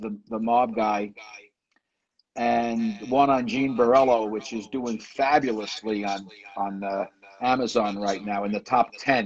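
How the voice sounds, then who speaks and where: With a New York accent, a man speaks at a fairly slow pace. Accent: New York, like the Sopranos. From New York, the Bronx. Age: 70s. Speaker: author. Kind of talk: interview.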